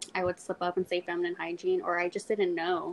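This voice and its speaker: With an American accent, a woman at a medium pitch speaks at a fairly quick pace over noticeable background noise. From South Texas, Corpus Christi. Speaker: period poverty activist. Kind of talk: interview.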